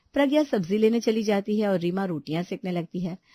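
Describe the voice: Recorded dry and close with no echo, a woman with a dark, mellow tone talks at a fairly quick pace. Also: medium pitch for a woman, lively intonation.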